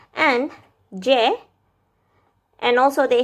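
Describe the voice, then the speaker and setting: In an Indonesian accent, a woman speaks with a high pitch. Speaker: vlogger, language learner. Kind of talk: casual vlog explainer. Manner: hesitant, with fillers.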